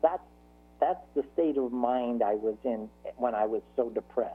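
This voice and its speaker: Music plays in the background as a man with a medium pitch talks at a moderate pace with ordinary pitch variation. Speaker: author with multiple sclerosis. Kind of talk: interview. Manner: halting.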